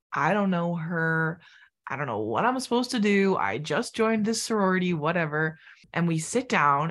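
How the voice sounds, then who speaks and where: Speaking at a moderate pace with lively intonation, a woman has a fairly low pitch and an unremarkable speaking voice. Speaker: podcast host. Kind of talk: casual interview chat.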